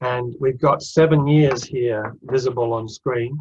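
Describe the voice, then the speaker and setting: A somewhat breathy voice with ordinary pitch variation and a slight Australian accent. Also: man. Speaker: interim finance director. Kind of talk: webinar presentation.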